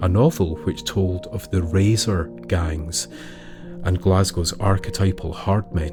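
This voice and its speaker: Over music in the background, a man speaks at a very slow pace with a very deep, low pitch and lively intonation. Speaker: storyteller. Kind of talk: folklore storytelling narration.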